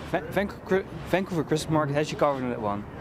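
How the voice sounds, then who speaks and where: A man at a very fast pace with fairly high pitch and lively intonation, amid noticeable background noise. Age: young. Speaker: field reporter. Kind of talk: on-location TV report. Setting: outdoors.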